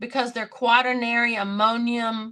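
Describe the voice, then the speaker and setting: Over a quiet background, a woman talks very slowly in a fairly high pitch with a bright, sharp tone. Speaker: podcast co-host. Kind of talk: casual chat.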